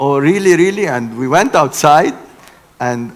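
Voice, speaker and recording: Lively intonation marks this man's ordinary speaking voice. He keeps a moderate pace. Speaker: engineering keynote speaker. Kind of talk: lecture.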